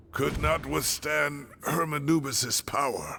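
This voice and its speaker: Over clear background music, a man uses a put-on character voice and speaks at a fairly slow pace. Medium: video game. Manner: grave, measured.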